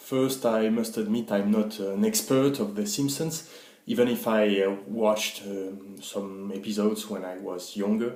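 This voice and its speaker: The speaker has a French accent and goes at a fairly slow pace with ordinary pitch variation. Noticeable background noise and audible room echo fill the recording. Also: man, fairly low pitch for a man. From France. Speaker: guest contributor. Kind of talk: recorded voice message. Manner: halting.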